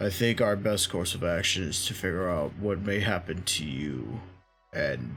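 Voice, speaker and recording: Faint music plays behind a man doing a put-on character voice with a very deep, low pitch. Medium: actual play. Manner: formal, measured.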